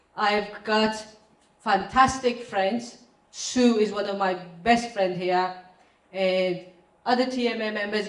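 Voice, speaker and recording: Fairly even intonation is heard through audible room echo and noticeable background noise. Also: woman. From Pakistan. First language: not English, her third language. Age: 30s. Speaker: property investor. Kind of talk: testimony. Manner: halting.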